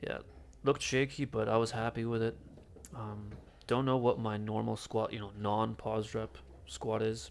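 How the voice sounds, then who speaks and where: The speaker talks at a moderate pace with fairly even intonation, broken by long, frequent pauses. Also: man, medium pitch for a man. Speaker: fitness vlogger. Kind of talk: casual voiceover commentary on workout footage. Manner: mumbling, hesitant with fillers.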